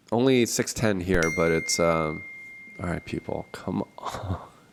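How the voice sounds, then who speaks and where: A man with a very deep, low pitch speaks at a very slow pace. Noticeable background noise runs throughout. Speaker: podcast host. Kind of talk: casual chat. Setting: small office with echo. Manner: halting, many fillers. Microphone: echoey room sound.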